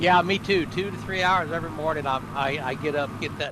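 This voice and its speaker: Ordinary pitch variation from a man talking fairly quickly, plus noticeable noise in the background. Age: 70s. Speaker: retired flight sim hobbyist. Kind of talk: casual chat.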